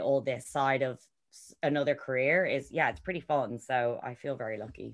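In an Irish accent, a woman talks at a moderate pace with fairly even intonation, in a very clean recording with a silent background. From Ireland. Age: 30s. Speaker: yacht crew member and reality TV cast member. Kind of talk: podcast interview.

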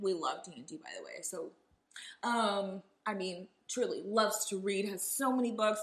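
With lively intonation, a woman speaks at a fairly high pitch. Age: 20s. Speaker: podcast guest. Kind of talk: casual chat.

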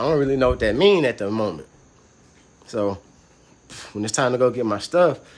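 Here is a man speaking at a medium pitch. He has an American accent. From US South, Atlanta (west side). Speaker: former prisoner sharing his story. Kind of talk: casual interview, personal testimony.

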